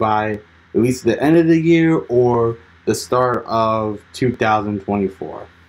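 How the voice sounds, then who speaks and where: A man speaks with ordinary pitch variation. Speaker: channel host. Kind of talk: casual vlog chat. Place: home room. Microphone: phone near.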